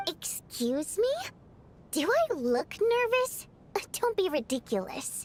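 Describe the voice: A woman puts on a character voice at an extremely high pitch, with very wide pitch swings. She leaves long, frequent pauses. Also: fairly slow pace.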